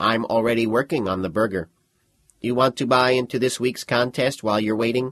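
A man does a put-on character voice at a medium pitch. He talks at a fairly quick pace. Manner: smooth, salesy, cheerfully sinister.

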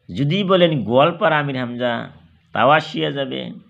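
A man speaks at a fairly high pitch. Audible room echo surrounds his voice. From Assam, India. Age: 50s. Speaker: Islamic preacher and YouTuber. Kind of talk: religious sermon. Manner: halting.

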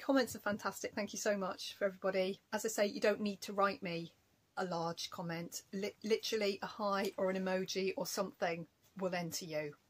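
A somewhat breathy woman's voice at a fairly quick pace, with ordinary pitch variation. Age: 40s. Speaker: craft youtuber. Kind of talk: casual vlog chat. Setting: home recording. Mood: warm and friendly. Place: home room. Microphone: phone near.

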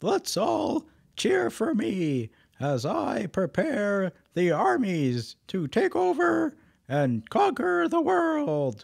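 In a put-on character voice, the speaker goes at a very slow pace with very wide pitch swings and very even loudness. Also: man, high pitch for a man.

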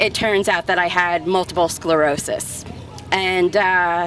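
A woman speaks with a dry sound and no echo. Music plays in the background. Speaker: speaker. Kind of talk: public testimony speech. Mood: earnest, relieved, brief laugh. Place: street. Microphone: handheld.

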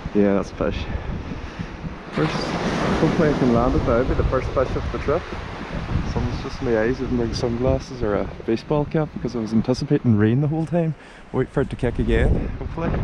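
Speaking at a fairly quick pace with ordinary pitch variation, the voice sounds dry with no echo over noticeable background noise. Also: man. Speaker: angler vlogger. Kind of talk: casual vlog chat. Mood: relaxed, hopeful. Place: beach. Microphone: phone near.

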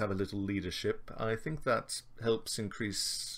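Text read aloud plainly

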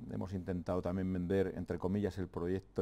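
A man talks at a fairly quick pace. His voice is very deep and low, with a dark, mellow tone. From Navarre, Spain (Fustiñana, Ribera). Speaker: president of a land-management community. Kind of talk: TV interview. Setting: TV studio. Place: studio. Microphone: lapel.

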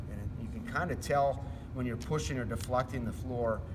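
A man's voice with noticeable background noise. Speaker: flooring contractor. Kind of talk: tutorial. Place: hall.

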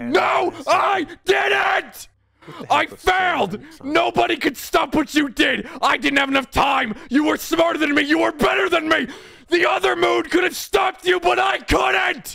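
A man shouting in a put-on character voice, extremely high in pitch. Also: moderate pace. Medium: virtual streamer. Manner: frantic, repetitive denial.

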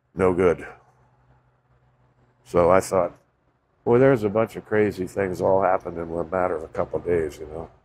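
Over light background noise, a man talks at a moderate pace in a very deep, low voice. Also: long, frequent pauses. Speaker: vlogger. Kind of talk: casual vlog chat. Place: garden. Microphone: phone near.

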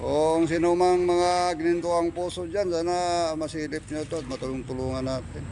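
A man speaks at a moderate pace. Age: 60s. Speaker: vlogger. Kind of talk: casual vlog narration. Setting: outdoors under a bridge.

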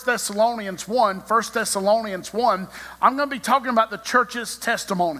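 Bright and sharp, a man's raised, projected voice moves at a fairly quick pace. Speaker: preacher. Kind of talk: sermon. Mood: warm, smiling. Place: church. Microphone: podium.

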